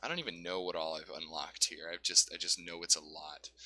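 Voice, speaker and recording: A man talks at a very fast pace. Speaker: gaming YouTuber. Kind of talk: let's play commentary. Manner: mumbling at times; casual, halting.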